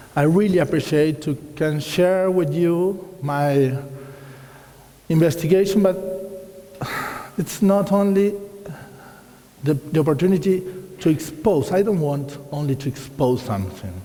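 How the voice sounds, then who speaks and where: Fairly high-pitched man with an Argentine accent at a fairly slow pace, long, frequent pauses, noticeable background noise and audible room echo. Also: ordinary pitch variation. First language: Spanish. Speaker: watercolor artist and teacher. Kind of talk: lecture. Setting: hall with live audience.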